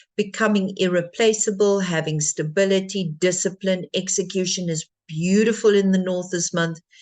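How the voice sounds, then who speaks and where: Here a woman speaks in an ordinary speaking voice. Her pitch is medium, her pace moderate and her intonation fairly even. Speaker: feng shui consultant. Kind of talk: livestream presentation.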